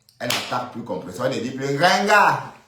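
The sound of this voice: A man's medium-pitched voice, bright and sharp in tone, with big pitch swings, a fairly quick pace and strong room echo.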